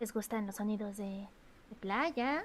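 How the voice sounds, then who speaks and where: Here a woman is soft-spoken. Her pitch is fairly high. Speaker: vtuber streamer. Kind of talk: casual livestream chat. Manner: loud; trying to speak softly.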